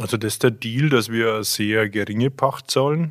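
A man's unremarkable speaking voice at a medium pitch and moderate pace, on a very clean recording with a silent background. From Franconia, Germany (Jura east of Bamberg). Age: 40s. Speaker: brewer. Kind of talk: casual interview.

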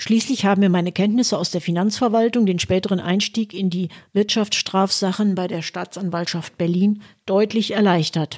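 A woman talks at a moderate pace at a medium pitch with fairly even intonation. She has an ordinary speaking voice. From Westphalia, Germany (Münster). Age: 60s. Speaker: podcaster, retired lawyer and party member. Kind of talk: scripted narration. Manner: formal.

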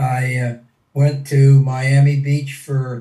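A man's fairly high, somewhat breathy voice has a dark, mellow tone and a monotone, flat intonation. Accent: American. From Pennsylvania, US (small town). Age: 80s+. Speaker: WWII veteran fighter pilot. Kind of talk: interview, personal war testimony. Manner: hesitant, many fillers.

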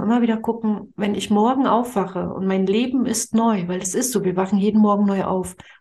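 At a moderate pace, a woman speaks at a medium pitch with fairly even intonation, her tone dark and mellow and somewhat breathy. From Mecklenburg-Vorpommern, eastern Germany. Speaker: spiritual money coach. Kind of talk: podcast interview.

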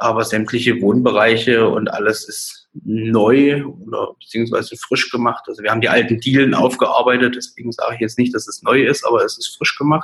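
Speaking at a fairly quick pace with hardly any pauses, a man holds a medium pitch in a monotone, flat delivery. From Saxony, Dresden. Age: 20s. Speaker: real estate agent. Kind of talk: interview. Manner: hesitant, many fillers.

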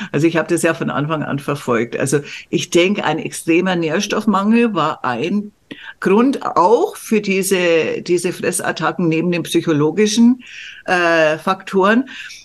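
A woman speaks in a plain, everyday voice at a fairly low pitch. Her intonation is lively and her pace fairly slow. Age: 60s. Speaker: medical journalist and coach. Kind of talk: casual chat.

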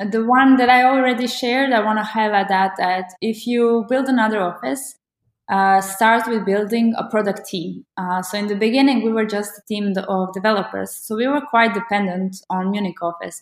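In a very clean recording with a silent background, a woman with a Croatian accent speaks at a moderate pace with fairly high pitch and ordinary pitch variation. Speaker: agency managing director. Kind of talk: casual conversation.

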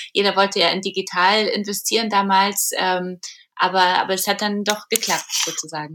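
Her tone bright and sharp, a woman speaks with monotone, flat intonation. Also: medium pitch for a woman, moderate pace. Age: 40s. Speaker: publisher and entrepreneur. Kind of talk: interview conversation. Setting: remote recording.

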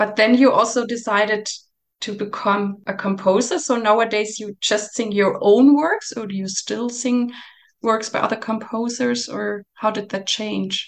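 A woman with a German accent speaks at a fairly slow pace in a fairly high-pitched voice. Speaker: podcast host and singer. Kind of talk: interview. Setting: video call. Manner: enthusiastic.

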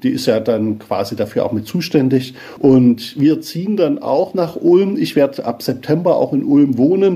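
Lively intonation marks a man's speech, with noticeable background noise behind it. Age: 50s. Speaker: pastor. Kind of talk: interview.

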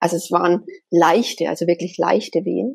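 Her voice has a dark, mellow tone with vocal fry and ordinary pitch variation. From Germany, Bavaria (near Bamberg, Upper Franconia). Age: 30s. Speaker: spiritual medium. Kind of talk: interview, personal story.

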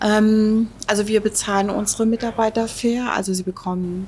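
A woman speaks at a fairly slow pace in a medium pitch, sounding somewhat breathy. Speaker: restaurant owner. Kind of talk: casual interview. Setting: restaurant. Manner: hesitant, many filler words.

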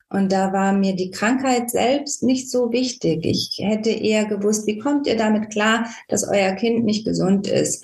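A woman's somewhat breathy, fairly high voice, fairly slow, with fairly even intonation. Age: 50s. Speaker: parent of a child with Tourette syndrome, volunteer. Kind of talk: interview.

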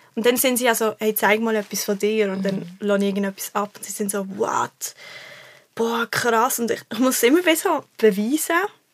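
At a moderate pace and a fairly high pitch, a woman with an unremarkable speaking voice shows ordinary pitch variation and big swings in loudness. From Switzerland, Basel. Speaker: singer-songwriter. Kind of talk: casual chat.

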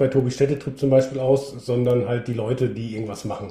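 The man's voice has a dark, mellow tone with some breathiness. Pitch variation is ordinary. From Münsterland, Germany. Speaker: TV camping presenter. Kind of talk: interview.

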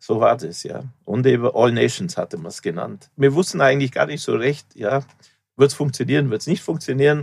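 A man talks at a moderate pace with vocal fry, his medium pitch moving with ordinary variation. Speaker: festival founder. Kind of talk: interview. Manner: halting.

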